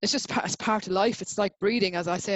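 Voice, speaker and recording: A woman speaks with an Irish accent. Her pace is very fast. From Ireland. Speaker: writer. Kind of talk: interview. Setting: video call. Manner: halting.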